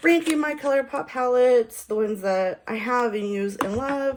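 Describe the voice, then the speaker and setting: High pitch and a fairly slow pace from a woman. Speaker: beauty vlogger. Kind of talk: makeup tutorial. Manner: casual, chatty.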